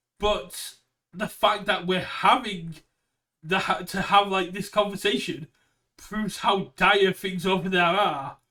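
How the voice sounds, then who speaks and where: A man's raised, projected voice with a British accent, high for a man and bright, sharp in tone, fairly even in intonation at a fairly slow pace. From United Kingdom. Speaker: card game streamer. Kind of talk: casual chat.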